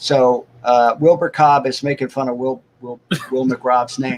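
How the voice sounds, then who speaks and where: A man with a fairly high pitch at a fairly slow pace. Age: 60s. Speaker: cartoonist and animator. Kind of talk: casual interview chat.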